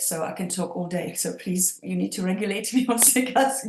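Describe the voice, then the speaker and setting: A somewhat breathy woman at medium pitch with a Czech accent. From Czech Republic, Prague. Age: 50s. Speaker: EFT practitioner. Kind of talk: interview.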